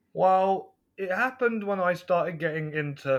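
In a West Midlands accent, a man speaks with ordinary pitch variation over a quiet background. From England, West Midlands. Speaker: film reviewer podcaster. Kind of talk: casual chat.

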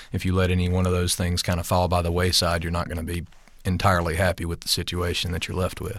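Very fast and monotone, with flat intonation, a man speaks at a very deep, low pitch in a Southern US accent. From US South, rural. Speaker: stunt coordinator and fight choreographer. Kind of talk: casual interview. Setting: studio.

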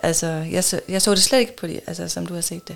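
A woman's fairly low voice, touched with vocal fry, moves at a fairly quick pace. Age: 40s. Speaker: podcast guest in an open relationship. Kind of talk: casual interview.

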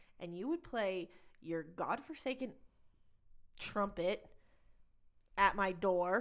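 A woman with a Texas accent. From Texas (Plainview). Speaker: podcast co-host. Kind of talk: casual chat.

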